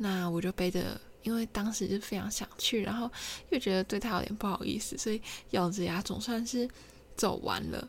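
A woman's medium-pitched voice with fairly even intonation and vocal fry. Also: moderate pace. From Taiwan, Kinmen. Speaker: podcaster. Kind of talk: solo storytelling monologue. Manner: halting, many fillers.

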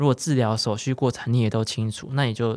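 In a very clean recording with a silent background, a man of medium pitch talks very fast with fairly even intonation. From central Taiwan. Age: 20s. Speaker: cancer patient. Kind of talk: interview.

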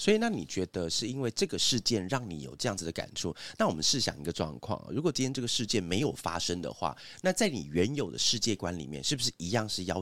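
Hardly pausing, a man rattles along at a very fast pace with vocal fry and very wide pitch swings, in a dry, close sound with no echo. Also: very clean recording, silent background. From Taiwan, Hsinchu (Zhudong). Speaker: podcast host, advertising agency boss. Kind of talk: casual chat.

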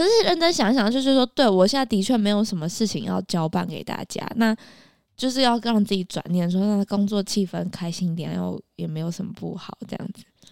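On a very clean recording with a silent background, a woman with an unremarkable speaking voice talks at a medium pitch and a fairly quick pace. Her intonation is lively, her loudness swings widely, and the sound is dry and close with no echo. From Taiwan, Taipei. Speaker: podcast co-host. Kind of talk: news reading; casual chat.

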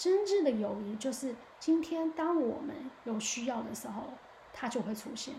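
A woman speaks in an animated tone with a high pitch and ordinary pitch variation, her voice carrying audible room echo over noticeable background noise. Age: 30s. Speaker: podcast host. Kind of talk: casual monologue.

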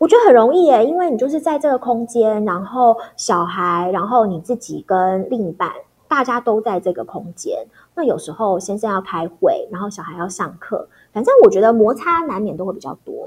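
The voice moves at a moderate pace with very wide pitch swings. Its loudness swings a lot as well. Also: woman, fairly high pitch for a woman. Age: 40s. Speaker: former TV news anchor. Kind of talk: casual interview chat.

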